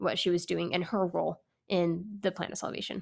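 A woman with an American accent and an unremarkable speaking voice, ordinary pitch variation and a moderate pace, on a very clean recording with a silent background. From California Bay Area. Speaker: podcast host. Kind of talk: casual religious discussion. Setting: apartment.

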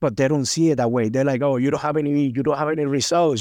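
Speaking with a Spanish accent, a man shows ordinary pitch variation and a dark, mellow tone. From Cuba. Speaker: former pro cyclist. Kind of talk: casual interview chat.

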